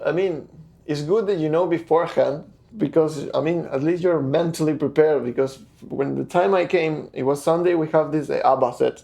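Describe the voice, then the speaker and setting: Speaking at a fairly quick pace, a man with a fairly high pitch has a dark, mellow tone and fairly even intonation. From Argentina, small town. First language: Spanish. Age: 20s. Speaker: cruise ship guitarist. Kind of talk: interview. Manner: halting, with fillers and repetitions.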